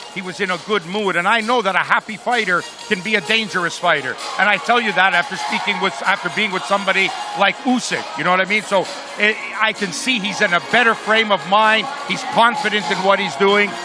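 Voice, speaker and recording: With music in the background, a man speaks at a high pitch in a raised, projected voice, moving at a fairly quick pace with ordinary pitch variation. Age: 60s. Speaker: boxing trainer. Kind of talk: interview.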